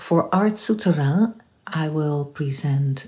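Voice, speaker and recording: A very slow, somewhat breathy woman's voice with a dark, mellow tone. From Netherlands. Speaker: interdisciplinary artist. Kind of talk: promotional self-introduction.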